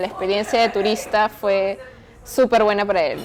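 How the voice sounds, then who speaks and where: With music playing in the background, a woman speaks at a fairly high pitch. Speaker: anthropology student. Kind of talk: documentary narration.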